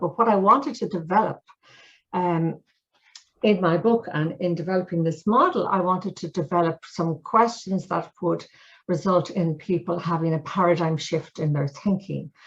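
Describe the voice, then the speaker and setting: A woman speaks with an Irish accent in a fairly low, somewhat breathy voice. Her pitch varies in an ordinary way. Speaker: mediation trainer and author. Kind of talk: storytelling; webinar presentation. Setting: video call webinar. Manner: fast; animated.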